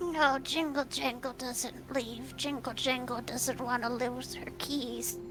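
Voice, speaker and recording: A female-sounding put-on character voice speaks in a high pitch at a fairly slow pace with hardly any pauses. Loud music plays in the background. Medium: actual play. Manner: refers to herself in third person.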